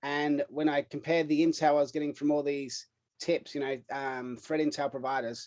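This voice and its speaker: At a moderate pace, a man speaks in a fairly high voice with monotone, flat intonation. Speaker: cybersecurity startup CEO. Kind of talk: podcast interview. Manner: casual, filler-heavy.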